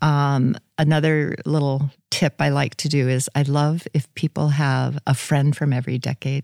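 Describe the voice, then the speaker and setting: In an American accent, a woman with a very deep, low voice talks at a moderate pace in a monotone, flat way. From South Dakota, US. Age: 60s. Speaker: author and retired nurse. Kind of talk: casual interview.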